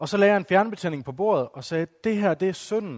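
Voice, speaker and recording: The intonation is lively, captured in a very clean recording with a silent background and a dry, close sound free of echo. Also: man. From West Jutland, Denmark. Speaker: evangelist and teacher. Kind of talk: talk to a church gathering. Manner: halting, many fillers.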